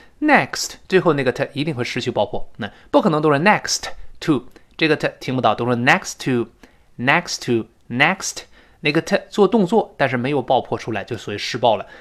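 Lively intonation carries the speech at a moderate pace over a very clean recording with a silent background. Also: man, fairly high pitch for a man. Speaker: English teacher. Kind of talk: lecture. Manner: animated.

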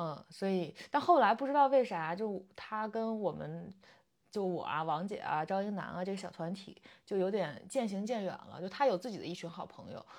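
This woman has an ordinary speaking voice, medium in pitch, at a moderate pace. Her intonation is lively and her loudness swings widely. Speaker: podcast host. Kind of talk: casual chat.

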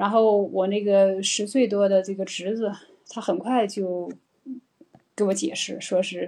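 A woman speaks at a medium pitch and a moderate pace, her tone dark and mellow. Her intonation is fairly even, broken by long, frequent pauses. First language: Mandarin Chinese. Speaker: English teacher hosting live stream. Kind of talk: live stream talk. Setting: live stream. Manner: hesitant, many fillers.

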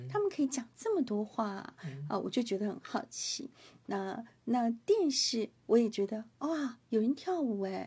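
In a Hakka accent, a woman speaks with a dark, mellow tone at a fairly high pitch. She keeps a fairly slow pace. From Taiwan. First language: Hakka (speaking Chinese). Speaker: radio host. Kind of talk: interview.

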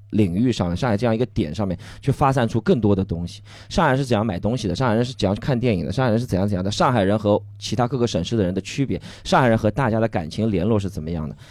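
A man's fairly low voice rushes along at a very fast pace. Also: ordinary pitch variation. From Shanghai, China. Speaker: stand-up comedian. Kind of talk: casual chat; stand-up.

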